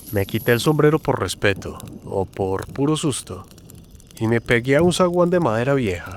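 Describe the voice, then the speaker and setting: A man speaks with lively intonation. He leaves long, frequent pauses. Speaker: storyteller. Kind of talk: scripted narration. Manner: dramatic.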